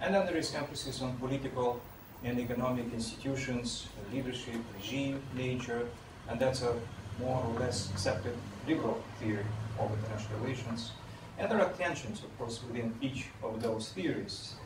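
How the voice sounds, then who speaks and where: Talking at a fairly quick pace with ordinary pitch variation, a man is heard over noticeable background noise. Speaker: guest, professor. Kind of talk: lecture. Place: meeting room.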